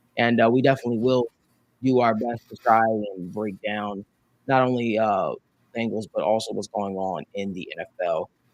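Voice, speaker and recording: Medium in pitch with ordinary variation, a man talks at a moderate pace in a New Jersey accent. The sound is dry and close, with no echo. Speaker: sports talk show host. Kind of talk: casual sports talk show.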